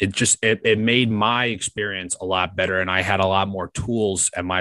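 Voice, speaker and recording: With an American accent, a man's very deep, low voice has a bright, sharp tone and fairly even intonation at a moderate pace, recorded dry and close with no echo and a quiet background. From New York. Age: 20s. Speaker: sports radio producer and podcast host. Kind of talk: interview.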